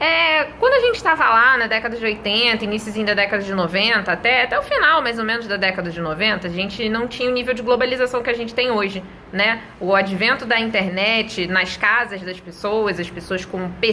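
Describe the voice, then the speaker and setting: A woman speaks at a moderate pace in a Rio de Janeiro accent, her pitch fairly high with ordinary variation. Noticeable background noise runs under her voice. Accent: Rio de Janeiro (carioca). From Brazil, Rio de Janeiro. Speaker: English teacher. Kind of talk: tutorial. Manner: conversational, addresses viewers directly.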